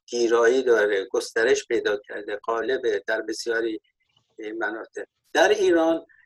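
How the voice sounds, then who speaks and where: A man talks at a fairly slow pace. The sound is dry and close, with no echo. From Iran, Golpayegan. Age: 60s. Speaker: former political activist. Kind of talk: panel discussion.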